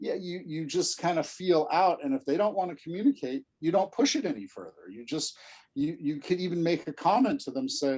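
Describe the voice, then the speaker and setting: Here a man talks with an American accent at a fairly high pitch. He moves at a fairly quick pace with very wide pitch swings. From Southern California. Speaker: special education expert. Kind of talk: lecture. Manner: repetitive stammering on words; softens voice when demonstrating.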